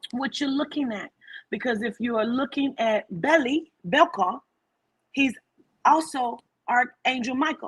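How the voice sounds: A woman's high-pitched voice with a slightly husky edge, ordinary pitch variation and a fairly slow pace.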